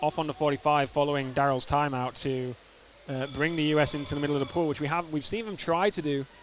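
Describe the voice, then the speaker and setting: A man's fairly high voice with fairly even intonation, against noticeable background noise. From Yorkshire, northern England. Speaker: sports commentator. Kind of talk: live commentary.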